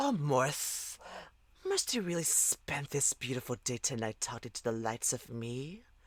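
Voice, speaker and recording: This put-on character voice hisses at a low-to-middle pitch and moves at a moderate pace. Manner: hissing.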